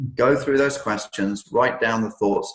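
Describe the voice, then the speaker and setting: A somewhat breathy male voice. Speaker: business coach. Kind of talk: webinar presentation. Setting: online webinar. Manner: fast.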